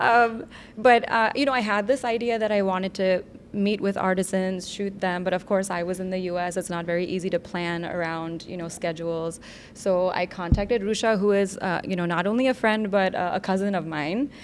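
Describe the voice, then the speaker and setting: A woman with an American accent, a normal speaking voice at a medium pitch, a fairly quick pace and fairly even intonation. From US Northeast, New Jersey/New York. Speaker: documentary filmmaker. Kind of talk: podcast interview.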